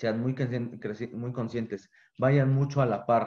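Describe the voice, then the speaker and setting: With a dark, mellow tone, a man talks at a fairly slow pace at medium pitch, with ordinary pitch variation. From Mexico, Guanajuato. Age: 20s. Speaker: business student and bakery owner. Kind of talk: interview.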